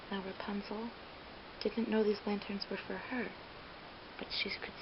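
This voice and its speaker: At a fairly quick pace, the voice comes through noticeable background noise. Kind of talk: ASMR whispered ramble, casual talk to camera. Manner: whispered, soft-spoken.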